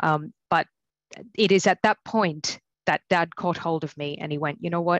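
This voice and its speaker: A woman's fairly low voice in a strong Australian accent, at a moderate pace with fairly even intonation. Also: dry, close sound with no echo. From Australia, country New South Wales. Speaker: general practitioner. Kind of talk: personal testimony talk. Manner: hesitant, many fillers.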